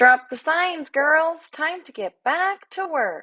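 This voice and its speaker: A woman uses a put-on character voice, pitched extremely high and delivered loudly. She speaks at a very slow pace. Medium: read story. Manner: brash, sarcastic.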